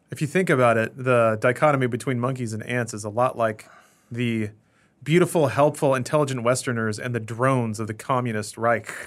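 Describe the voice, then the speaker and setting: At a fairly quick pace, a man with a plain, everyday voice and medium pitch talks with ordinary pitch variation. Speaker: podcast co-host. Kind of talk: casual chat. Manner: sarcastic, joking.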